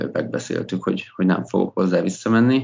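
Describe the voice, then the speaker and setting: A man's pitch shifts in an ordinary way as he talks at a moderate speed. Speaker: sports executive and former ice hockey player. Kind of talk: casual interview. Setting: early morning, from home.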